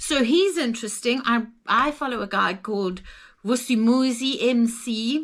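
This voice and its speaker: In a very clean recording with a silent background, a woman speaks with a Zimbabwean accent and ordinary pitch variation. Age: 60s. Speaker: travel vlogger. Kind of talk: casual chat.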